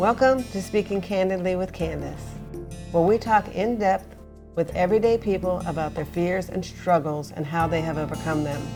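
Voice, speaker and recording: Music plays in the background as a woman speaks. Her pitch is fairly low, with ordinary pitch variation. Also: moderate pace. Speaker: interview host. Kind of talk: podcast intro read.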